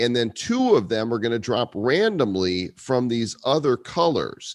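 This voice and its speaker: A man at a medium pitch, fairly slow, in a plain, everyday voice. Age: 50s. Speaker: podcast host. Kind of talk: casual chat. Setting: video call.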